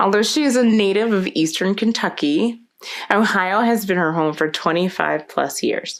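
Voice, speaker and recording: Her loudness very even and her pitch medium, a woman with an American accent speaks at a moderate pace in a plain, everyday voice. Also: lively intonation. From South Florida. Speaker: podcast host. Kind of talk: podcast interview; reading guest intro.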